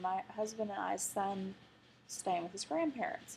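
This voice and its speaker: At a moderate pace, a woman with an Arkansas accent speaks with lively intonation. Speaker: vlogger. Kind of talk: personal video diary.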